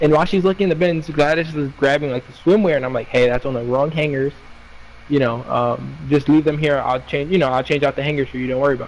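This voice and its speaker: Amid noticeable background noise, a man talks very fast with fairly high pitch and fairly even intonation. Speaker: retail worker. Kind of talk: casual chat.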